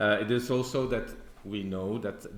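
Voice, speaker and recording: In a Dutch accent, a man speaks at a fairly slow pace with audible room echo. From Belgium (Flemish). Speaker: church historian, lecturer. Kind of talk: conference presentation. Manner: hesitant, many fillers.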